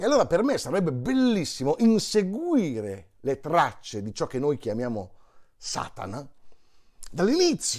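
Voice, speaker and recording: A man speaks at a fairly slow pace with a high pitch and very wide pitch swings. The background is quiet. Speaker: monologist, stage storyteller. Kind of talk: casual talk to camera promoting a show. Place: home room. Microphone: lapel.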